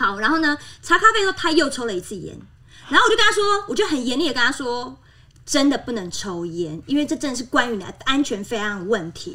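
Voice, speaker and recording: Speaking at a fairly quick pace in a raised, projected voice, a woman sounds animated, her high pitch swinging very widely and her loudness rising and falling sharply. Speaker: former flight attendant. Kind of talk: casual chat.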